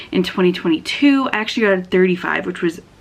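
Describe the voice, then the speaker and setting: There is noticeable background noise behind a woman of medium pitch. She talks at a fairly quick pace with ordinary pitch variation. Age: 20s. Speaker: booktuber. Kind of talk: casual chat.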